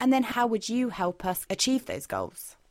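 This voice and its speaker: The speaker has a British accent and lively intonation. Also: woman. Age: 30s. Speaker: podcast host and leisure rider. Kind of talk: podcast interview.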